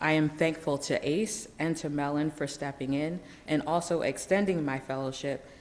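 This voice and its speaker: With audible room echo, a woman speaks at a moderate pace in a very deep, low pitch with fairly even intonation. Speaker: historian. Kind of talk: lecture. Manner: halting.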